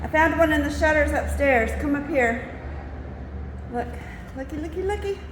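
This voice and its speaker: Music plays behind a woman talking at a moderate pace with long, frequent pauses. The room echo is audible. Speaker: house restorer and vlogger. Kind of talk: casual vlog narration. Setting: indoors, running through a house. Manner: animated.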